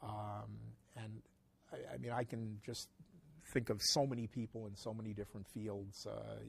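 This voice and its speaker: A man with an American accent, a fairly low pitch and a somewhat breathy voice, at a moderate pace with fairly even intonation and long, frequent pauses. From New York City. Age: 60s. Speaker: antiquarian bookseller. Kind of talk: interview. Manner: halting.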